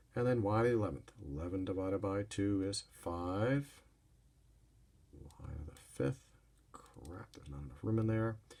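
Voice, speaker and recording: Here a man speaks at a moderate pace and fairly low pitch with ordinary pitch variation. His tone is dark and mellow, and somewhat breathy. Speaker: math teacher. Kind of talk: recorded lesson.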